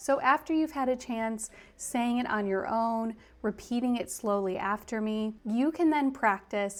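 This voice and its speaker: A normal speaking voice from a woman with an American accent, fairly high pitch, fairly slow pace and ordinary pitch variation. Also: very clean recording, silent background. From US. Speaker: English teacher. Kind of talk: tutorial.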